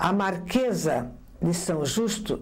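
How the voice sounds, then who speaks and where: A woman talks with vocal fry and lively intonation. Audible room echo surrounds her voice. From São José, Santa Catarina, southern Brazil. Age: 70s. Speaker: former amateur theatre actress. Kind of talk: interview testimony.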